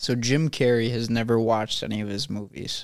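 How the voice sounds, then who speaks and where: A man speaks at a moderate pace in a medium pitch. He has a plain, everyday voice. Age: 20s. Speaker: podcast guest. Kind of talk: casual chat.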